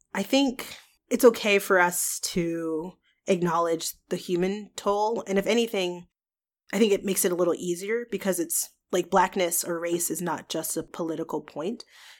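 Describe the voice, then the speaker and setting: Using an ordinary speaking voice with an American accent, a woman speaks at a medium pitch and a moderate pace with ordinary pitch variation, on a very clean recording with a silent background. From US, Georgia. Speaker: podcast guest. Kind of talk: casual discussion.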